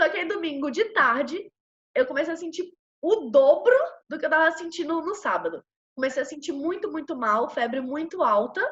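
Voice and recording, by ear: A woman speaks with a Brazilian accent. Her intonation is lively.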